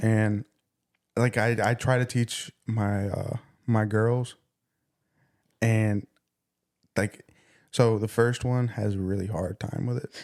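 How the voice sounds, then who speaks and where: At a very slow pace, a man speaks in a medium-pitched, monotone, flat voice with long, frequent pauses and a dry, close sound with no echo. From El Salvador. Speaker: podcast co-host. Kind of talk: casual chat.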